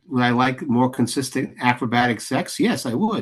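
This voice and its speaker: With an American accent, a man speaks at medium pitch and a moderate pace, his pitch varying in an ordinary way. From New York, the Bronx. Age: 60s. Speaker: playwright and director. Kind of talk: interview. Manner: halting, many restarts.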